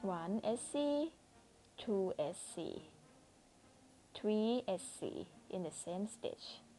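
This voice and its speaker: Amid background music, a fairly high-pitched woman speaks very slowly with lively intonation and long, frequent pauses. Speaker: crochet instructor. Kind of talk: crochet tutorial narration. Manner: quiet, low volume.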